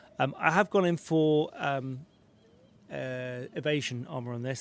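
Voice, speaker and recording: The speaker is a man with a British accent. His intonation stays fairly even. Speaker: gaming streamer. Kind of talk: live stream game commentary.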